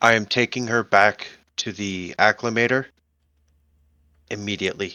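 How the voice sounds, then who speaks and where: Using a put-on character voice, a man speaks at a medium pitch. His pace is moderate and his intonation fairly even. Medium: actual play. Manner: calm, earnest.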